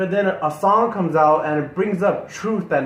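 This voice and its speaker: Through noticeable background noise, a man speaks with lively intonation. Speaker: music reaction youtuber. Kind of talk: casual chat. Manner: halting.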